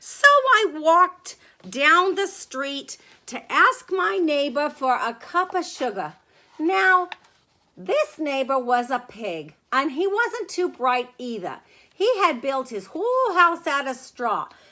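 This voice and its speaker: Putting on a character voice, a woman goes at a fairly slow pace, her high pitch making very wide swings. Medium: read story. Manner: conversational, wheedling, self-justifying.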